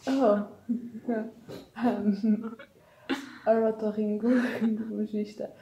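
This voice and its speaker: Amid noticeable background noise, a woman speaks very slowly at a fairly high pitch in a flat monotone, with long, frequent pauses. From Portugal. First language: Portuguese. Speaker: YouTube reaction channel co-host. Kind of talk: casual chat.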